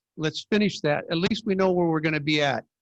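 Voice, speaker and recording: A high-pitched man with an American accent and ordinary pitch variation, in a dry, close sound with no echo. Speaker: city council member. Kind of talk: heated debate. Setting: video call.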